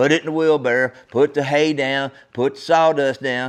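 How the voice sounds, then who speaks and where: A man with a fairly high pitch talks at a moderate pace in an American accent. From Texas. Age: 60s. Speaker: podcast host. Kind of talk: solo podcast monologue, storytelling. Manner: casual, folksy.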